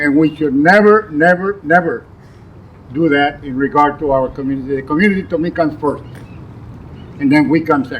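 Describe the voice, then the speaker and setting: Noticeable background noise sits behind a man with a fairly high pitch. He keeps a moderate pace with ordinary pitch variation. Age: 80s+. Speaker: community leader being honored. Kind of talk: acceptance speech.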